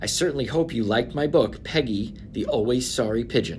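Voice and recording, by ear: The voice is reading aloud in a natural voice with lively intonation.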